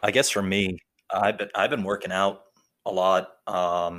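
At a moderate pace, a man with a New Jersey accent speaks in a very deep, low pitch with monotone, flat intonation. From North Jersey, US. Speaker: police officer, meme page creator. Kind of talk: casual chat.

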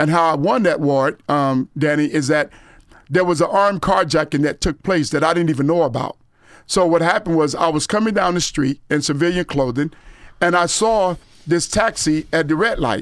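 A man at a fairly high pitch, moderate pace, ordinary pitch variation and very even loudness, on a very clean recording with a silent background. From Florida (Gifford, Fort Lauderdale). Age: 50s. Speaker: former sheriff's deputy. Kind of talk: testimony.

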